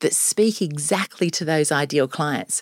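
A woman with an Australian accent speaks at a fairly slow pace in an energetic, upbeat tone. The sound is dry and close with no echo, on a very clean recording with a silent background. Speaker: sales trainer and business founder. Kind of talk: interview.

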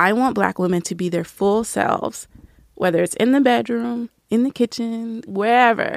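With an American accent and a plain, everyday voice, a woman speaks at a moderate pace and a fairly high pitch in a dry, close sound with no echo. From US South, Nashville. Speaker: writer and book reviewer. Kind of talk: casual interview chat.

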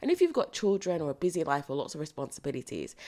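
Her fairly low pitch comes across on a very clean recording, this woman speaking against a silent background. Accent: British. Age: 20s. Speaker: podcast host. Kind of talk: solo podcast monologue.

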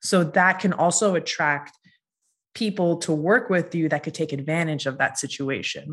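It's a plain, everyday voice. The pace is moderate and the pitch varies in an ordinary way. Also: woman, fairly low pitch for a woman. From Massachusetts, US (small town), then Florida. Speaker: beauty brand founder. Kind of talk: personal reflection monologue. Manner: casual, conversational.

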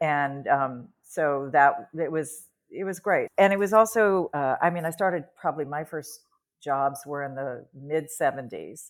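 Recorded very cleanly against a silent background, a woman speaks at a fairly slow pace with a very deep, low pitch and ordinary pitch variation. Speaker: dancer, choreographer and teacher. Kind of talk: casual chat.

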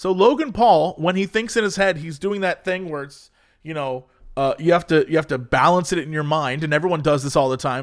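A man speaks at a fairly quick pace with an American accent and ordinary pitch variation. It is an unremarkable speaking voice on a very clean recording with a silent background. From US. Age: 30s. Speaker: podcast co-host. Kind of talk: casual chat.

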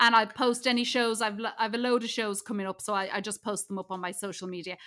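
A woman in an Irish accent, fairly high-pitched, with a bright, sharp tone, a very fast pace, and a very clean recording over a silent background. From Ireland. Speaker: comedian. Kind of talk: casual chat.

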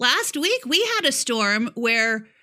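Raised, projected female voice with a bright, sharp tone and an American accent. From upstate New York. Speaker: podcast co-host. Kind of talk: casual chat. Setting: remote recording at home in Tennessee.

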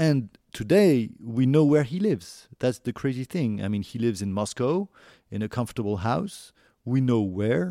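Speaking with a French accent, a man uses a medium pitch and a dark, mellow tone with very wide pitch swings. He keeps a moderate pace on a very clean recording with a silent background. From France. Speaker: documentary producer and journalist. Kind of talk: interview. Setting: recorded at home. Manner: halting, many fillers.

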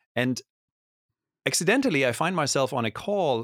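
A man speaks with a German accent. The recording is very clean, with a silent background and a dry, close sound free of echo. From Germany. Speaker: tech advisor. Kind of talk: interview conversation.

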